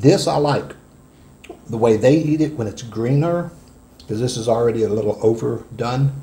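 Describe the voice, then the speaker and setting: A man's somewhat breathy voice carries a dark, mellow tone and lively intonation. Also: moderate pace. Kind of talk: casual vlog chat. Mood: amused, disgusted by smell. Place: home room.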